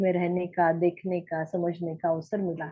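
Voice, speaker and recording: A woman speaks with a Marathi accent. Her voice sits fairly low in pitch. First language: Marathi (speaking Hindi). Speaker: study group member and translator. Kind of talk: personal testimony in online group. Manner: halting, many hesitations.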